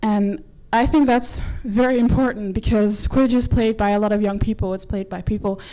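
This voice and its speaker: Over noticeable background noise, a woman with a Dutch accent speaks at a fairly quick pace in a medium pitch, her intonation fairly even. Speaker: quidditch player and organiser. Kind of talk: presentation talk. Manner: fast.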